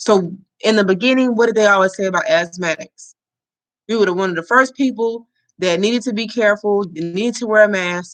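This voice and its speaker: A normal speaking voice with an American accent, fairly quick pace and ordinary pitch variation. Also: woman, medium pitch for a woman. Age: 20s. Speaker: livestream host. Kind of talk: casual livestream chat.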